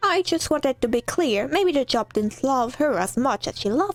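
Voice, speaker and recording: Faint music plays behind a woman doing a high-pitched, put-on character voice, the sound dry and close with no echo. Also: moderate pace. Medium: solo performance.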